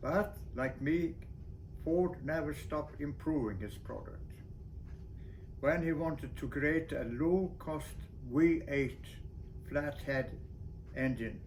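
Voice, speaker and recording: A man with a fairly high pitch and vocal fry talks at a very slow pace, with ordinary pitch variation. He leaves long, frequent pauses, and room echo is audible. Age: 80s+. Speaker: solo sailor and boat builder. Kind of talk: monologue video update.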